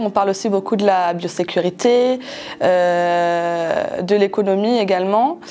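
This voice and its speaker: A woman speaks at a medium pitch and a very slow pace. Her pitch varies in an ordinary way. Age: 20s. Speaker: former student, poultry sales technician; poultry sales technician. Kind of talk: testimony. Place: classroom.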